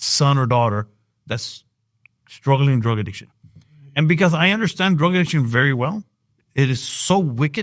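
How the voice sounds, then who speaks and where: Pitched fairly high, a man with an American accent speaks with very wide pitch swings. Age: 60s. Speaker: evangelist and business owner. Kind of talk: interview. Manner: halting.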